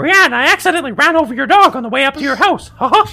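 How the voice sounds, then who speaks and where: Over music in the background, a high-pitched put-on character voice rattles along at a very fast pace. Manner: cheerful, chipper.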